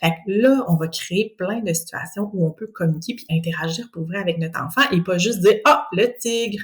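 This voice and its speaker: Speaking with a Quebec accent, a woman uses very wide pitch swings and an animated tone in a somewhat breathy voice. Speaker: speech-language pathologist. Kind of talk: educational podcast monologue.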